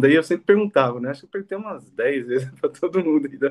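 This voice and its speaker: A man talks at a very fast pace. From Brazil, Jundiaí, São Paulo state. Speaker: aircraft mechanic. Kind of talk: interview.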